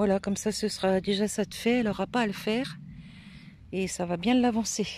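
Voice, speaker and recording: At a fairly quick pace, a woman speaks with medium pitch and fairly even intonation. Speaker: gardening vlogger. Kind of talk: casual vlog walkthrough. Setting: outdoors in garden. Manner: soft-spoken.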